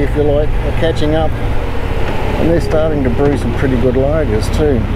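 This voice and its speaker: A man talks at a moderate pace. Noticeable background noise and audible room echo fill the recording. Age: 60s. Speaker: motorcycle vlogger. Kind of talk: casual monologue while riding. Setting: riding a motorcycle.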